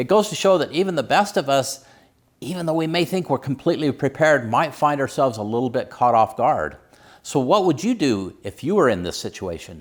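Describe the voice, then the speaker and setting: A man speaks at a fairly quick pace with a fairly high pitch, very wide pitch swings and vocal fry. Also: very clean recording, silent background. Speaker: emergency preparedness channel host. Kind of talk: casual talk to camera.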